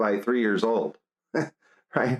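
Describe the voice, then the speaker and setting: This is a man's voice at medium pitch. The sound is dry and close, with no echo. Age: 60s. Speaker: music education professor. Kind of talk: casual chat. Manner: halting.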